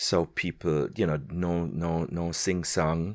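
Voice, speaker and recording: The recording is very clean with a silent background. A man speaks in a very deep, low pitch. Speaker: podcast host, language trainer. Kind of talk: interview. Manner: clear enunciation.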